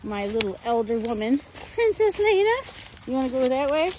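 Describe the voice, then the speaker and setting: Over light background noise, a woman speaks in a high pitch, the sound dry with no echo. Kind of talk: casual vlog chat. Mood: playful, pained by thorns. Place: forest. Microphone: phone near.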